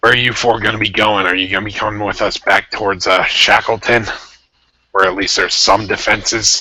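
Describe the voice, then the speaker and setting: Raspy and fairly low in pitch, a man puts on a character voice. He talks at a fairly quick pace. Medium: actual play. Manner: blunt, pragmatic.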